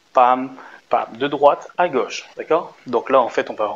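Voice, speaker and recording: At a moderate pace, a man of medium pitch talks with ordinary pitch variation. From France. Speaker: dance teacher. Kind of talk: tutorial. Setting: dance studio. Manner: animated.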